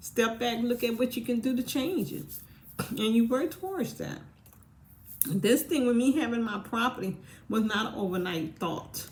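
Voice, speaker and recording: A woman's plain, everyday voice with lively intonation at a fairly quick pace. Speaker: vlogger. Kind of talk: casual monologue.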